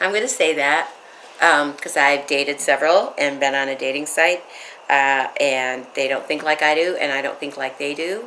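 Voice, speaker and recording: A woman with an American accent, very deep, low pitch and a moderate pace. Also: ordinary pitch variation. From Michigan, US Midwest. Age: 70s. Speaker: widow telling her life story. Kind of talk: interview.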